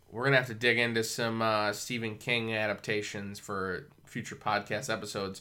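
A very clean recording with a silent background, carrying a man's bright, sharp tone. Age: 30s. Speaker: podcast host. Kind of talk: casual chat.

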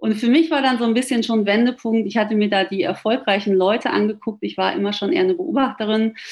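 A woman's fairly high voice at a very fast pace, with lively intonation, very even loudness and hardly any pauses, over noticeable background noise. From Ruhr area, Germany. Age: 40s. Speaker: author and flight attendant. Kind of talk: interview.

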